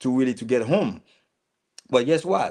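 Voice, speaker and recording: Speaking with a Haitian accent at a moderate pace, a man is heard in a very clean recording with a silent background. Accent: Haitian immigrant accent, noticeable. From Haiti, rural countryside. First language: Haitian Creole. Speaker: community business owner, vlogger. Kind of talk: casual monologue. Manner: halting, many fillers and repetitions.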